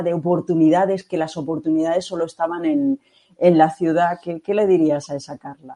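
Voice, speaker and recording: Against a quiet background, the voice moves at a moderate pace. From Catalonia. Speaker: podcast host. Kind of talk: interview.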